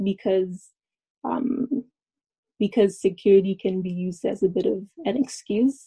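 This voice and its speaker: Somewhat breathy and dark, mellow in tone, a medium-pitched woman with a Canadian accent speaks at a moderate pace with ordinary pitch variation, recorded dry and close with no echo. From Alberta, Canada. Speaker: university student. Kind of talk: panel discussion.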